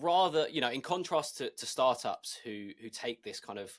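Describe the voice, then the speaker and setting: A man speaks at a moderate pace on a very clean recording with a silent background. The sound is dry and close, with no echo. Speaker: podcast host. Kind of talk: interview. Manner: sounds sarcastic.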